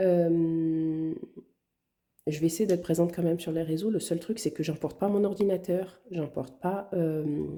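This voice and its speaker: Soft-spoken and very slow, a woman talks in a dark, mellow tone with a fairly low pitch and fairly even intonation. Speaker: budgeting vlogger. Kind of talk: casual vlog talk. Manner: quiet, soft-spoken.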